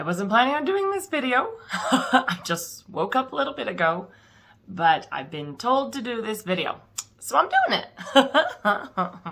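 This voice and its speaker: A woman's raspy put-on character voice, high-pitched, with very wide pitch swings, big swings in loudness and a moderate pace. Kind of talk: casual vlog.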